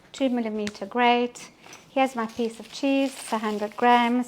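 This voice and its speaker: Noticeable background noise surrounds a woman's voice. Her pitch is high, with ordinary pitch variation. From Belgian Congo and Belgium, Italian parents. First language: French. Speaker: cooking demonstrator. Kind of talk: live cooking demonstration. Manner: casual, with frequent fillers.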